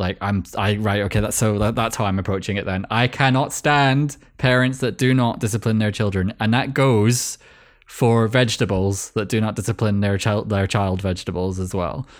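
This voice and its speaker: A man with a Scottish accent speaks at a fairly low pitch and a moderate pace, with ordinary pitch variation. The recording is very clean, with a silent background. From Scotland. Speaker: podcast host. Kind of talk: casual chat.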